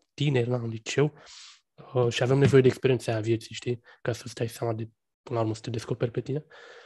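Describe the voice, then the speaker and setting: Speaking at medium pitch, a man sounds somewhat breathy. The sound is dry and close, with no echo. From Romania, Bucharest. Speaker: podcast host. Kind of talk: casual interview chat. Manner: halting, many fillers.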